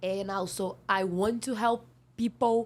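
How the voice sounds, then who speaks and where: The speaker has a non-native accent. Delivery is very slow. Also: woman. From Brazil. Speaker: seasonal worker. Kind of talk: interview. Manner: halting; loud.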